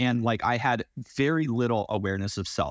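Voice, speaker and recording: At a moderate pace with ordinary pitch variation, a man talks in an ordinary speaking voice, the sound dry and close with no echo. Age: 30s. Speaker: builder in recovery from addiction. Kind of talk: interview testimony.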